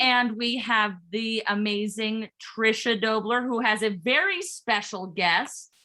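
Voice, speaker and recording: A loud woman's voice, fairly high and bright, sharp in tone, at a very slow pace. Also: ordinary pitch variation, hardly any pauses. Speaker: workshop MC. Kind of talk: online workshop presentation. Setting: video call. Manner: animated.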